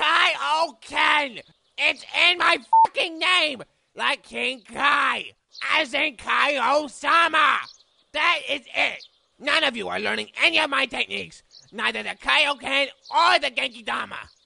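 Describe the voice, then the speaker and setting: In a high, put-on character voice, the speaker goes at a fairly slow pace with long, frequent pauses. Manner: irritable, explosive.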